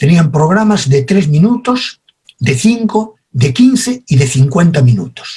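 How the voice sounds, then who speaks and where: Very slowly, a man with a Spanish accent speaks at a fairly high pitch, his voice swinging very widely up and down. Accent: Spanish (Spain), retained. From Spain. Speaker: communication expert. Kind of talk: lecture.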